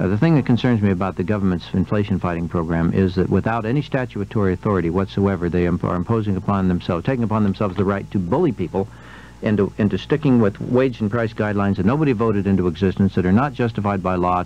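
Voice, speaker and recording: A man speaks very fast at a fairly low pitch, with ordinary pitch variation, very even loudness and a dry sound with no echo. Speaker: radio guest. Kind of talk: interview answer. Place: studio.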